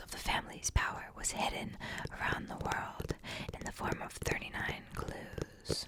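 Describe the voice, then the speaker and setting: Fairly slow whispering from a woman, with noticeable background noise. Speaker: ASMR creator. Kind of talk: reading a book's back-cover blurb aloud. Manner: whispered, soft-spoken.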